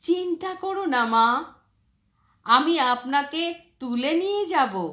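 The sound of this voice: Using a put-on character voice, a woman speaks slowly in a high pitch with a fairly bright tone and big pitch swings.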